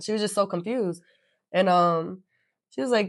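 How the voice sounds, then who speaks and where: Moderate pace and ordinary pitch variation in a very clean recording with a silent background. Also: woman. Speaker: podcast host. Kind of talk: casual chat. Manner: proper, articulate speech.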